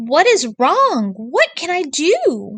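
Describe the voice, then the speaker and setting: A woman puts on a character voice, high in pitch with very wide pitch swings. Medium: read story. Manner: kind, earnest.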